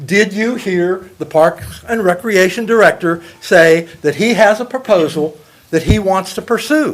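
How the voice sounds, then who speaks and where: A loud man with a high pitch and ordinary pitch variation, with music in the background. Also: fairly slow pace. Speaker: public commenter at city council. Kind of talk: public comment. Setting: council meeting.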